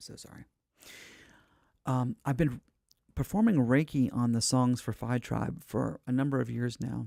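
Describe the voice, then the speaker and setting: Long, frequent pauses break up a man's dark, mellow voice, recorded with a dry, close sound and no echo. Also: medium pitch for a man, ordinary pitch variation, moderate pace. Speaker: livestream host, spiritual teacher and musician. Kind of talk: live stream chat. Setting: windowless room, live stream. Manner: hesitant, many fillers.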